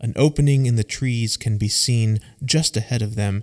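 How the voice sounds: Natural reading, with pitch moving in an ordinary way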